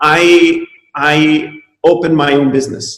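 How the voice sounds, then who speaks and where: A man is speaking. He has an Italian accent. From Italy. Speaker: chiropractor. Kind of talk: webinar talk. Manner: halting, many fillers.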